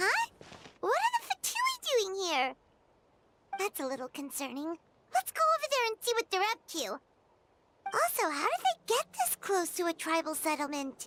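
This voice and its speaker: This is a put-on character voice pitched extremely high. Long pauses come often. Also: moderate pace. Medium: video game. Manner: casual, reactive.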